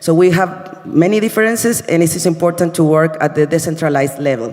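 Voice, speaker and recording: With a Spanish accent, a man talks at a very fast pace and high pitch, with ordinary pitch variation and very even loudness, over noticeable background noise. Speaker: university sustainability representative. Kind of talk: conference presentation. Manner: halting, many fillers.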